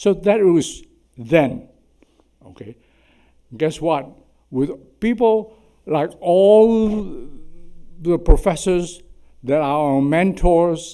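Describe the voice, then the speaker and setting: A man with a Chinese accent speaks at a very slow pace in a high pitch for a man, his intonation lively and his pauses long and frequent. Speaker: surgeon. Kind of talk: symposium talk.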